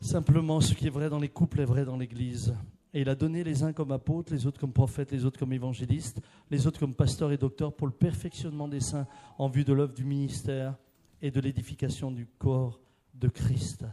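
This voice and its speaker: A man with a dark, mellow, somewhat breathy tone speaks fairly quickly at a medium pitch with fairly even intonation. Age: 60s. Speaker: preacher. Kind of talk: sermon.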